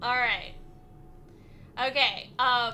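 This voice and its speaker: A high-pitched woman with an American accent, music in the background. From USA. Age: 50s. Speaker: streamer. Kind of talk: casual livestream chat. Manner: animated.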